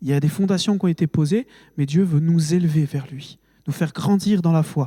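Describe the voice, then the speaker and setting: A high-pitched male voice with a dark, mellow tone, moderate pace, ordinary pitch variation, and a dry, close sound with no echo. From France, Haute-Marne. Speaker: preacher. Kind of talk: sermon. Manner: emotional, halting with fillers.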